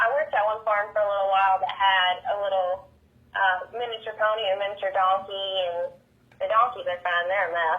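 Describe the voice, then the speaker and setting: A woman with a medium pitch speaks in a flat monotone at a fairly quick pace, with noticeable background noise. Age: 20s. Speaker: country pop singer. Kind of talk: interview chat.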